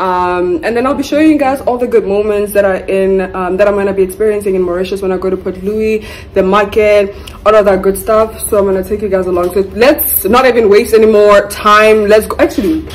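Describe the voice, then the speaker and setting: A woman speaks at a fairly quick pace with ordinary pitch variation. Light background noise runs underneath. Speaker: travel vlogger. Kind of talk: casual vlog chat. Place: home room. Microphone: phone near.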